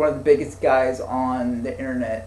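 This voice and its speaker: A man's medium-pitched voice with vocal fry, plus audible room echo. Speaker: podcast host. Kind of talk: casual chat. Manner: stuttering; halting.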